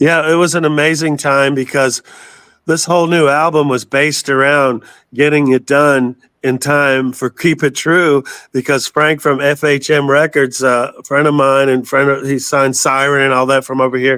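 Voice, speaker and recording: A man's fairly high, bright, sharp voice, monotone and flat, at a moderate pace with very even loudness. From Florida, Tampa Bay area. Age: 60s. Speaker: metal singer. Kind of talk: interview.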